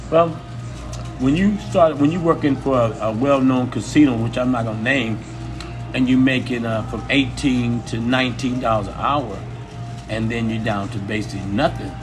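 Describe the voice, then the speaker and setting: A voice with ordinary pitch variation is heard amid audible room echo and noticeable background noise. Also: man, medium pitch for a man, moderate pace. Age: 60s. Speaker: casino cook, interviewee. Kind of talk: interview. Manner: halting.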